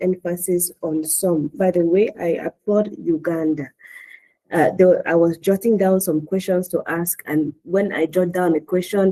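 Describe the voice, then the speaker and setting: A woman speaks at a medium pitch with a dark, mellow tone. Her intonation is fairly even, and her pace is fairly slow. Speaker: public health expert giving commentary. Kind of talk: webinar expert commentary. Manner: halting, many repetitions.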